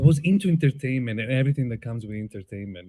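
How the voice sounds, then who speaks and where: With an Italian accent and lively intonation, a man talks on a very clean recording with a silent background. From Italy, Tuscany (Prato). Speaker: playwright and filmmaker. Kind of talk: onstage interview. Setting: outdoor stage with audience.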